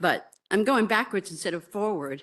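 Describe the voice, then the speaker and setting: In a quiet background, a woman speaks at a fairly quick pace with ordinary pitch variation. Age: 60s. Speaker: nurse, member of the public giving comment. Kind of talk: public hearing testimony.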